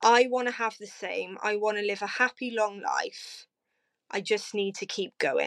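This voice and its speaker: On a very clean recording with a silent background, a woman speaks with a Cardiff accent. Her fairly high voice keeps fairly even intonation at a fairly slow pace. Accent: Welsh (Cardiff). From South Wales, Cardiff. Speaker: podcast guest, type 1 diabetic. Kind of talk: casual interview.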